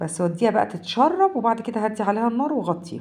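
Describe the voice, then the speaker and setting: A woman speaks with an Egyptian accent. Her pitch is fairly high. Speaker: home cooking vlogger. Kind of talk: cooking tutorial. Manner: casual, halting.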